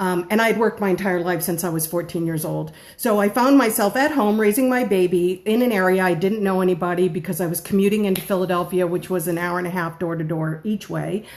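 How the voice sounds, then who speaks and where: With hardly any pauses, a woman speaks at a very fast pace and medium pitch. Her pitch varies in an ordinary way over noticeable background noise. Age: 50s. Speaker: home-based baker. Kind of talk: live stream talk.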